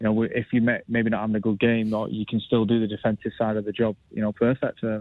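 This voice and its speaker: The speaker has a northern English accent and talks fairly quickly. The intonation is flat and monotone. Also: man. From northern England. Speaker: professional footballer. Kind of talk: radio interview.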